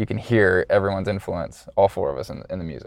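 A man talks at a fairly quick pace in a fairly low pitch. He has an ordinary speaking voice. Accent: American. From US South, Georgia (Loganville near Atlanta). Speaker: rock band drummer and drum teacher. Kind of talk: casual interview chat.

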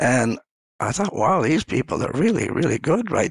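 A man speaks at a moderate pace with vocal fry and very wide pitch swings, in a dry, close sound with no echo. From rural Ontario, Canada. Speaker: coach and former senior leader. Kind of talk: casual interview conversation.

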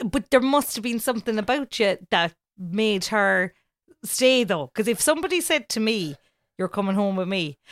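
With a Cork accent, a woman speaks at fairly high pitch with lively intonation in a dry, close sound with no echo and a very clean recording with a silent background. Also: moderate pace. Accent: Cork Irish. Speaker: podcast co-host, radio presenter. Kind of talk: casual chat. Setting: home bedroom recording.

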